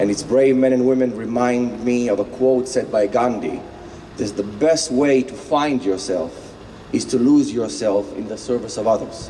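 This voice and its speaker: A man at medium pitch with a non-native accent, moderate pace and ordinary pitch variation, plus noticeable background noise and audible room echo. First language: not English. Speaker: motivational speaker. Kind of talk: rally speech.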